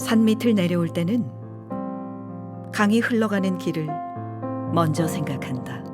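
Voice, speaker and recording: Over music in the background, a woman with a fairly low pitch speaks in a calm, soothing tone with lively intonation at a fairly slow pace, leaving long, frequent pauses. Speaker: voice actor. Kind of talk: poetry reading. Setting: studio, recorded live with piano accompaniment. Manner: calm, soothing, expressive.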